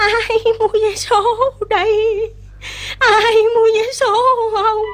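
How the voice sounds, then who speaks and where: Someone uses a put-on character voice, extremely high and shaky. The delivery is very slow, with light background noise. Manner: pitiful, calling out to sell.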